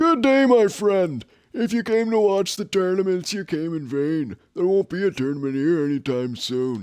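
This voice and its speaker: In a put-on character voice, a man speaks at a high pitch and a moderate pace with very wide pitch swings on a very clean recording with a silent background. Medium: game stream. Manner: chatty, hearty.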